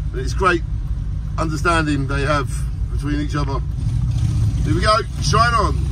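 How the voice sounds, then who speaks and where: A man talks at a moderate pace. The sound is dry with no echo, and there is noticeable background noise. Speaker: driver vlogger. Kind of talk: casual vlog commentary. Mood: cheerful, enthusiastic. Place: car. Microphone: phone near.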